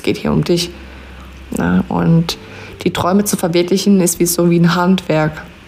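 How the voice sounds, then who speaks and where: A woman's fairly low, monotone voice with flat intonation at a moderate pace, over noticeable background noise. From Palatinate (Pfalz), southwestern Germany. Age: 20s. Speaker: podcaster and network marketer, mother. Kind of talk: personal storytelling and motivational talk.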